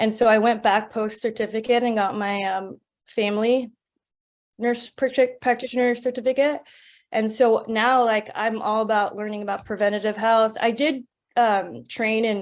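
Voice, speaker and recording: This woman has an American accent and a fairly high pitch. Her intonation is fairly even and her pace moderate. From California. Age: 30s. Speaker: nurse practitioner and entrepreneur. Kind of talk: interview. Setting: webinar.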